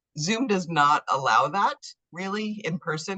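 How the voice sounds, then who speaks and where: An enthusiastic woman with an American accent, a bright, sharp tone and a moderate pace, in a dry, close sound with no echo. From New York. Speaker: interviewer, gender writer. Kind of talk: interview. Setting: video call. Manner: interruptive, enthusiastic.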